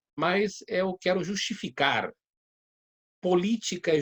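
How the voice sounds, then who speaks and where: A man at a very slow pace on a very clean recording with a silent background. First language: Spanish (speaking Portuguese). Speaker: judge and law lecturer. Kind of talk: lecture. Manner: halting, many hesitations.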